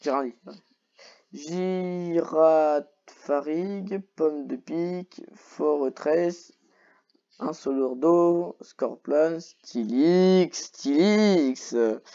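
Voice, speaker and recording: The delivery is very slow, with long, frequent pauses. The background is quiet. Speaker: YouTuber reacting to Pokémon list. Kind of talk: casual solo commentary. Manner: animated; hesitant, many fillers.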